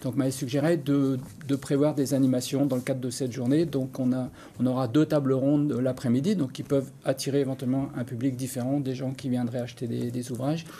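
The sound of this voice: This man talks at a fairly quick pace in a medium pitch, with a dark, mellow tone and little pitch movement.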